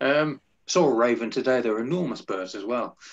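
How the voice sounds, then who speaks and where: This is a man speaking. He has an English accent. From England. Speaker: music podcast host and radio presenter; music podcast host, radio presenter. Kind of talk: casual interview. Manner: animated. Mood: friendly, relaxed. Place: home room. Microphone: video call.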